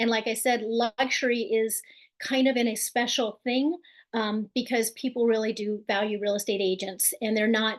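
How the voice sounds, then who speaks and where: A woman speaks at a moderate pace with a fairly high pitch and very even loudness. She has a normal speaking voice, and the background is quiet. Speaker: real estate agent and team leader. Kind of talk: webinar presentation. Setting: online webinar.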